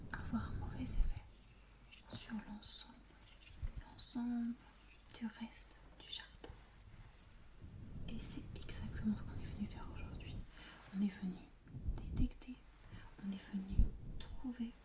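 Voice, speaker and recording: Whispering in a calm, soothing tone, a woman speaks at a fairly slow pace with long, frequent pauses and big swings in loudness, while noticeable background noise sits behind her. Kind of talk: ASMR roleplay, counseling session. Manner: soft, calm, soothing.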